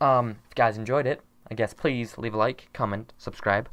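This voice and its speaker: A quiet man speaks with a fairly low pitch. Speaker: youtuber making tutorials; content creator. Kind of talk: tutorial. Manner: quiet, held down. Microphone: headset.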